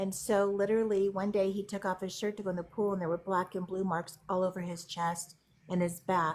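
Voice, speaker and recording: A woman with an ordinary speaking voice talks at a fairly quick pace, medium in pitch with fairly even intonation. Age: 60s. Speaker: parent giving advice in live chat. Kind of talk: casual chat.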